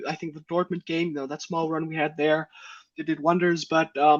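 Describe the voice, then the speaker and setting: The speech comes at a very fast pace. It carries a Danish accent. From Denmark, Aarhus. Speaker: football fan panelist. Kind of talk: casual chat.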